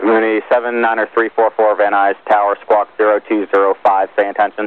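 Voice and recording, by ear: The delivery is monotone and flat at a fairly quick pace. Clear, smooth tone in a dry, close sound with no echo. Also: man, fairly low pitch for a man.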